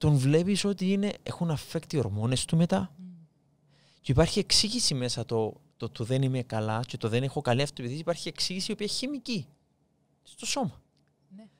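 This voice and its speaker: The speaker uses very wide pitch swings at a moderate pace in a Cypriot accent. The recording is very clean, with a silent background. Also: man, fairly high pitch for a man. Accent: Cypriot Greek. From Cyprus. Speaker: podcast host. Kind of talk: interview.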